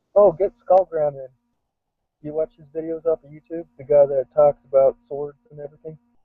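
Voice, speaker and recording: The speaker has a western US accent and fairly even intonation. Loudness swings widely throughout. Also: man, fairly high pitch for a man, moderate pace. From US West (Idaho), then New Jersey. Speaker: video chat participant. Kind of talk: casual chat.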